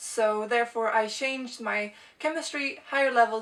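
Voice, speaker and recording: Over noticeable background noise, a woman with a Swedish accent speaks at a fairly high pitch. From Sweden. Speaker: video blogger. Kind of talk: casual vlog talk.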